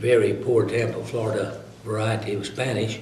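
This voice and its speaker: A man with a Southern US accent, fairly low-pitched, at a moderate pace, with audible room echo and noticeable background noise. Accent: southern American. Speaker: retired lawyer. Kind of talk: interview. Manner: halting, frequent uh fillers.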